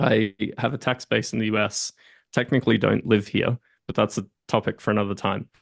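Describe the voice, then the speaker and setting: With an Australian accent, a man talks at a fairly quick pace and a fairly low pitch, with fairly even intonation and a dry, close sound with no echo. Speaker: entrepreneur and M&A advisor. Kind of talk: casual interview chat.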